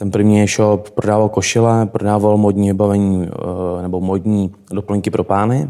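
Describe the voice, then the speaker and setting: At a moderate pace, a man speaks in a dark, mellow tone with monotone, flat intonation. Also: fairly low pitch for a man. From Czech Republic, Šumava region. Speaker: travel entrepreneur. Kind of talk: interview.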